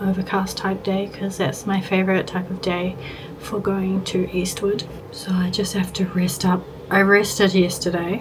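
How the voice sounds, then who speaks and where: A woman with an Australian accent speaks at a moderate pace in a medium pitch, her intonation flat and monotone, with audible room echo and noticeable background noise. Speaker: lifestyle vlogger. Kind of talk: casual vlog chat.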